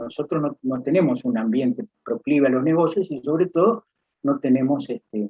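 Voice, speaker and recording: A fairly high male voice with very wide pitch swings. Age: 60s. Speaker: accountant and professor. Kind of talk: interview. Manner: halting, many fillers and repetitions.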